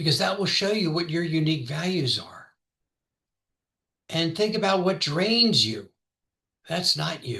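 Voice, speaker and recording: In an American accent, the voice has a bright, sharp tone and moves at a fairly slow pace. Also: man. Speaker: trial lawyer and podcast host. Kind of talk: motivational talk. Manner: soft-spoken; quiet.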